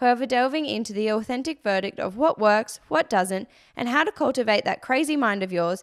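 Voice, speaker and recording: With an ordinary speaking voice, a woman talks at a moderate pace in a fairly high pitch with lively intonation, captured in a very clean recording with a silent background. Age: 20s. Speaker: podcast host and business co-founder. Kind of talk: casual chat; scripted intro.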